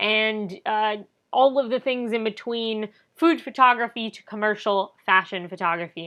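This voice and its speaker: Moderate pace with ordinary pitch variation. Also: woman, fairly high pitch for a woman. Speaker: wedding photographer. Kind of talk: promotional talk to camera.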